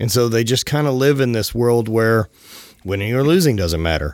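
With a Southern US accent, a man of medium pitch talks at a moderate pace with lively intonation. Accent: Southern US twang. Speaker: podcast host and apparel entrepreneur. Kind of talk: casual interview.

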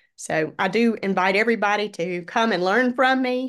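With lively intonation and a fairly high pitch, a woman talks at a moderate pace in an ordinary speaking voice over a quiet background. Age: 50s. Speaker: retired educator, fitness coach. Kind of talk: casual interview chat.

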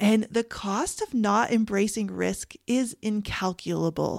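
A woman with a Canadian accent speaks very slowly in a fairly high voice, recorded very cleanly against a silent background. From Canada. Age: 40s. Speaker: grief coach and podcast host. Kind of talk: solo podcast monologue.

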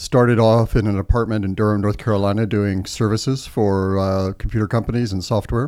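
An unremarkable speaking voice with an American accent moves at a fairly quick pace with ordinary pitch variation. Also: man. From Texas, Austin. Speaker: tech company policy executive. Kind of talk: interview.

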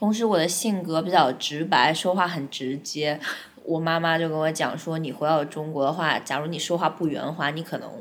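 Very deep, low pitch from a woman, with fairly even intonation at a moderate pace. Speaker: advertising account manager. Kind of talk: interview. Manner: talkative.

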